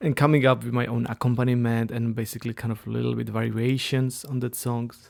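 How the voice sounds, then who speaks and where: In a very clean recording with a silent background, a man speaks at a very fast pace in a medium pitch with monotone, flat intonation. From Czech Republic. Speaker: pianist. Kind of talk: interview.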